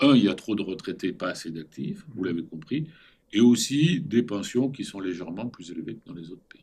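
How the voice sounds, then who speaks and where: A man talks at a moderate pace in a medium-pitched voice. His pitch swings very widely. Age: 70s. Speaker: former central banker and business school teacher. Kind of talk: interview. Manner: animated.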